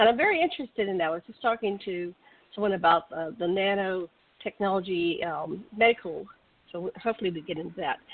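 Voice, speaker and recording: Talking very fast at medium pitch, a woman shows big swings in loudness and ordinary pitch variation. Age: 60s. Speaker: radio co-host. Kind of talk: casual chat; reading aloud.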